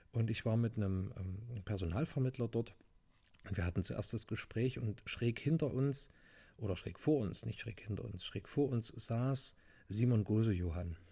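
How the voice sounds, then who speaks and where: A man with a dark, mellow tone and a somewhat breathy voice speaks at a moderate pace in a medium pitch with ordinary pitch variation. He takes long, frequent pauses, and the recording is very clean with a silent background. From Thuringia, Germany (near Jena). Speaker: hearing aid acoustician. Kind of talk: solo podcast monologue.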